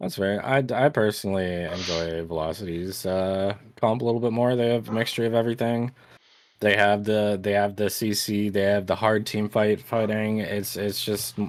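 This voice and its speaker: Using a plain, everyday voice, a man with a fairly low pitch talks at a moderate pace with fairly even intonation. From Canada. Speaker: esports caster. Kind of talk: live commentary. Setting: live stream.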